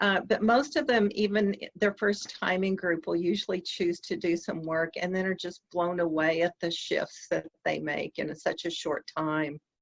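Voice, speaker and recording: In an American accent, a woman talks at a moderate pace with hardly any pauses, her pitch fairly low with ordinary variation. The sound is dry and close, with no echo. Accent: slight Southern US, comes out sometimes. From US South. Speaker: EFT practitioner, dating coach. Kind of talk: interview.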